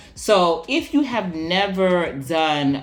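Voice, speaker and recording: The voice is in an American accent. Behind it, music can be heard. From US, Washington DC area. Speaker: video blogger. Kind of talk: casual vlog talk. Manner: hesitant, frequent um fillers.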